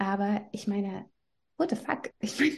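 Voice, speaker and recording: A dark, mellow tone with vocal fry at a moderate pace. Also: woman. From Belarus. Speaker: journalist and mother. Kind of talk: interview.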